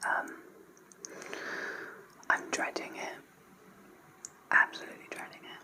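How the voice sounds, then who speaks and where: A woman whispers at a moderate pace, stopping for long, frequent pauses. Noticeable background noise sits behind her. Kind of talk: casual talk to camera. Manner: whispered, soft-spoken.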